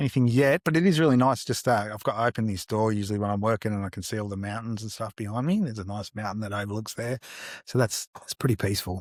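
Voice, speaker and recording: A man talks at a very fast pace with an Australian accent. The recording is very clean, with a silent background. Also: ordinary pitch variation, dry, close sound with no echo. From Australia, Melbourne south-eastern suburbs. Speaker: artist. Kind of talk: interview. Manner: halting, lots of fillers.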